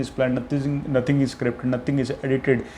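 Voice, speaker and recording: A man speaks over noticeable background noise. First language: Punjabi. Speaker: content creator. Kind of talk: unscripted monologue. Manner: halting, with self-corrections.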